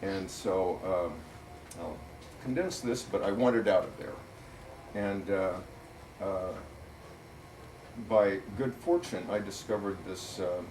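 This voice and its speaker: A man with an American accent speaks at a fairly low pitch, with long, frequent pauses, noticeable background noise and audible room echo. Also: ordinary pitch variation, fairly slow pace. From US Midwest (Missouri Ozarks). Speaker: author and political writer. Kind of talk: public talk at a bookstore. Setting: bookstore event with audience. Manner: hesitant, many fillers.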